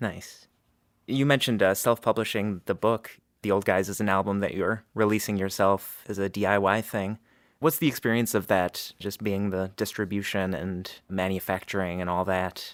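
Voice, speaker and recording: In a plain, everyday voice, a man talks at a moderate pace with a fairly low pitch and fairly even intonation, recorded very cleanly against a silent background. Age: 30s. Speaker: podcast host. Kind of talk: interview.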